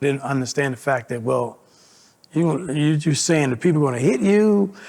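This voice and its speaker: This man has an unremarkable speaking voice with a fairly high pitch. He keeps a moderate pace and ordinary pitch variation. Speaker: community resident. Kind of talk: personal testimony interview.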